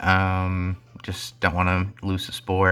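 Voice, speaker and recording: A man speaks with a very deep, low pitch and a bright, sharp tone. The recording is very clean, with a silent background. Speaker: Pokémon draft league player and video creator. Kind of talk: casual gameplay commentary. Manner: hesitant, many filler ums.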